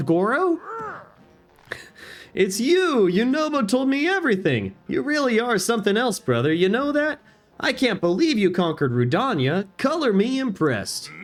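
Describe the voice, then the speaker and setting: A man puts on a gruff character voice pitched high. He keeps a moderate pace. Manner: hearty, warm.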